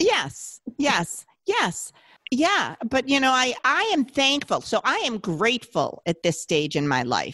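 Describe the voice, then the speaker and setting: Raised and projected, a woman's high, bright, sharp voice moves at a very slow pace with very wide pitch swings and very even loudness. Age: 60s. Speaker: podcast guest, mother. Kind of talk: casual chat.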